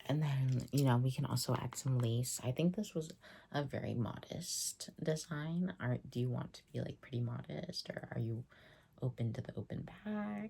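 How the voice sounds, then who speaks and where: The voice is a soft-spoken whisper. It moves at a fairly slow pace. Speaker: tailor and stylist (roleplay). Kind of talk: ASMR roleplay, wedding tailor fitting. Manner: soft-spoken, whispered.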